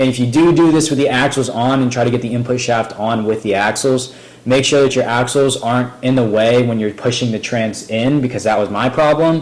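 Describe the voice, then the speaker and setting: This man's medium-pitched voice keeps a fairly even intonation and barely pauses at all. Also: fairly quick pace. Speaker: DIY car repair youtuber. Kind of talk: tutorial. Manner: fast; hesitant, many fillers.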